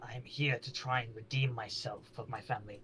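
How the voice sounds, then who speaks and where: A man's put-on character voice in a monotone, flat delivery over clear background noise. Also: medium pitch for a man, fairly quick pace. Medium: actual play. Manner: hesitant, halting.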